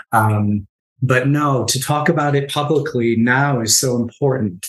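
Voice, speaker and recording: A man uses a plain, everyday voice, delivering his words fairly slowly. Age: 50s. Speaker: nonprofit executive and marathon runner. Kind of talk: interview about personal story.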